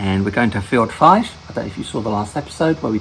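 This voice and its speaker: Over noticeable background noise, a man talks in a fairly low pitch with lively intonation. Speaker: gaming video host. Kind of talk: gameplay commentary. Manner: halting, many fillers and restarts; whispering.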